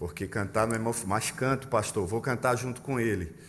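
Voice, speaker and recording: An audible room echo surrounds a man whose pitch varies in an ordinary way. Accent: strong northeastern Brazilian. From Pernambuco, Brazil. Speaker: pastor. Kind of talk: sermon. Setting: church.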